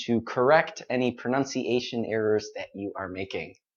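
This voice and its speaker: Here is a plain, everyday voice. The speaker talks with an American accent. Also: man. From United States. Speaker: English teacher. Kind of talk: live-stream pronunciation lesson. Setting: live stream. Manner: clear, deliberately paced.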